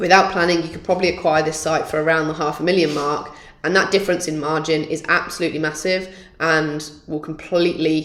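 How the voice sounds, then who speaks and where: Her voice very deep and low, a woman speaks fairly quickly in a monotone, flat way with audible room echo. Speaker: property development trainer. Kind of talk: workshop lecture.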